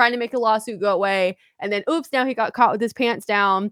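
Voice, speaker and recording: A woman's normal speaking voice, fairly high in pitch with ordinary pitch variation, in a dry, close sound with no echo and a very clean recording over a silent background. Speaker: podcast host. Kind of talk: casual chat. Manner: casual, joking.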